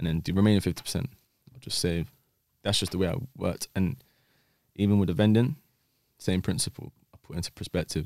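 A man with a London accent speaks very fast in a very deep, low pitch with ordinary pitch variation, leaving long, frequent pauses. The sound is dry and close, with no echo. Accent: London Multicultural English. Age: 20s. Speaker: former dark web vendor. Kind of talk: podcast interview.

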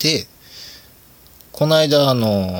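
A man speaks at a fairly slow pace with lively intonation. Noticeable background noise runs under his voice. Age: 30s. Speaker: podcast host. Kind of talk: casual solo talk. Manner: casual, frequent laughs and fillers.

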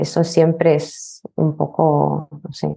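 A woman speaks in a very deep, low pitch with a Lithuanian accent. Music is in the background. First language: Lithuanian (speaking Spanish). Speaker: language teacher. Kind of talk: interview.

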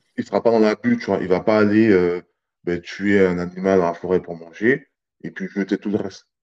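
The dry, close sound with no echo carries a man speaking at a fairly quick pace with a fairly low pitch and fairly even intonation. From French Guiana. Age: 30s. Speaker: army fitness instructor. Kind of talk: casual interview. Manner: calm, not loud; hesitant, many fillers.

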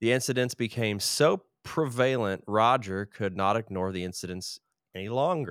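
Heard on a very clean recording with a silent background, a man of medium pitch uses a normal speaking voice at a moderate pace with ordinary pitch variation. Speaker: podcast co-host. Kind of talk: casual chat.

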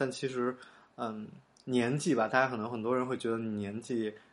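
A man at medium pitch, fairly quick in pace, with fairly even intonation. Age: young. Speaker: podcast host. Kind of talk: casual monologue. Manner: halting, many fillers.

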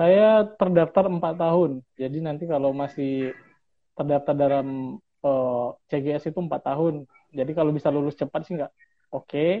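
Using a normal speaking voice, a man talks at a moderate pace with a fairly high pitch, ordinary pitch variation and big swings in loudness. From Bengkulu, Indonesia. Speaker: PhD student. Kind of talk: casual interview. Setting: remote call.

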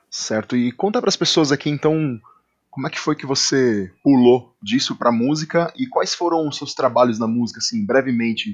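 A man speaks in a plain, everyday voice, pitched fairly high. His intonation is lively and his pace moderate. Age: 30s. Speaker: podcast host, drummer and music educator. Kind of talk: casual interview chat. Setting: studio.

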